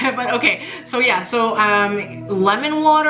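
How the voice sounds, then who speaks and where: Delivered at a fairly slow pace, the speech has audible room echo and music in the background. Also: woman. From Mexico. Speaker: tarot reader. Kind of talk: tarot reading. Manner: halting.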